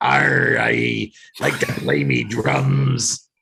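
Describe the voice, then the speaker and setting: A man puts on a raspy character voice at a very deep, low pitch. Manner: exaggerated, pirate-like.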